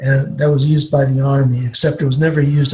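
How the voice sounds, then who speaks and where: Over noticeable background noise, a man talks at a very fast pace. His pitch is fairly high and his intonation is monotone and flat. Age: 60s. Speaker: retired nuclear power industry expert. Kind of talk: Q&A interview with students. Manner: halting, many fillers.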